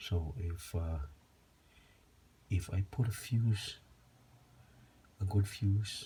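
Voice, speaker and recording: A man speaks very slowly at a fairly low pitch with a dark, mellow, somewhat breathy tone. His pitch variation is ordinary, and he takes long, frequent pauses. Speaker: DIY video maker. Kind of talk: tutorial.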